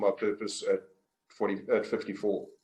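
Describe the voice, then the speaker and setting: A man with a South African accent at a moderate pace with fairly even intonation. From South Africa, Port Elizabeth, Eastern Cape. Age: 60s. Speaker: business coach. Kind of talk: interview. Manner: halting, many fillers.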